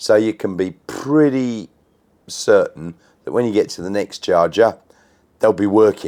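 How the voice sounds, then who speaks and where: Speaking with an Australian accent, a man talks at a fairly slow pace with long, frequent pauses and big swings in loudness. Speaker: electric car YouTuber. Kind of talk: casual talk to camera.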